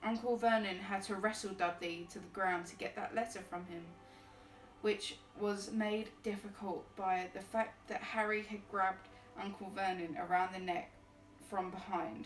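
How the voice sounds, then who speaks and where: Over noticeable background noise, a woman speaks at a moderate pace in a flat monotone, her loudness swinging widely. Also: medium pitch for a woman. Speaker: streamer reading books aloud. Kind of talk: reading aloud. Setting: live stream with background music. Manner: halting, stumbles over words.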